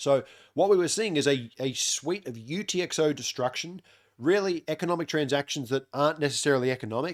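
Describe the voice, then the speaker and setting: A man with an Australian accent speaks in a fairly high voice with ordinary pitch variation. The recording is very clean, with a silent background. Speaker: crypto on-chain analyst. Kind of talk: market analysis update. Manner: casual, many filler words.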